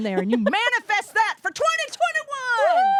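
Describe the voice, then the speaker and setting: A woman with an animated tone speaks at a fairly quick pace with very wide pitch swings, in a dry, close sound with no echo and noticeable background noise. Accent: slight Ozark. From Ozarks, US. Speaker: comedian. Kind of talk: stand-up.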